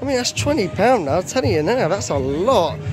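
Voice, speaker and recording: Clear music plays behind a man speaking fairly slowly. The sound is dry, with no echo. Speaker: theme park vlogger. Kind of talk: casual vlog chat. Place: street. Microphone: phone near.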